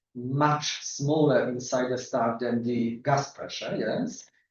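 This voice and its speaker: A man with a Polish accent speaks at a fairly high pitch. His pitch variation is ordinary. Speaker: astronomer. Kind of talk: lecture. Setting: seminar room with audience. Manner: halting, many fillers.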